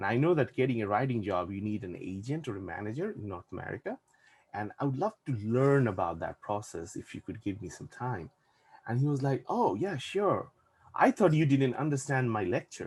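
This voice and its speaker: A man with a Bangladeshi accent speaks at a fairly quick pace and medium pitch. His voice is somewhat breathy and swings very widely in pitch. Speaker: VFX and animation production manager. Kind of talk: casual chat. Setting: podcast interview.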